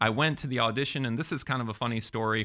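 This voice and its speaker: A man speaks at medium pitch with an American accent. Vocal fry runs through his voice. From Florida. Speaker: entertainer and podcaster. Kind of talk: interview.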